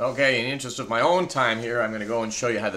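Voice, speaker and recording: A man speaks in a bright, sharp tone. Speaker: teacher. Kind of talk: tutorial.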